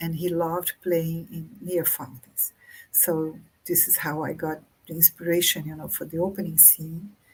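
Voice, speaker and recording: A woman with a Brazilian Portuguese accent speaks at a moderate pace in a fairly low, somewhat breathy voice, monotone and flat in intonation but with big swings in loudness. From Brazil, countryside. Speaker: author. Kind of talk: interview conversation. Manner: halting.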